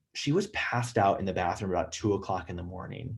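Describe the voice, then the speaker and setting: Against a quiet background, a man speaks at a very fast pace, somewhat breathy, with ordinary pitch variation. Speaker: emergency physician. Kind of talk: lecture. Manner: casual, filler-heavy.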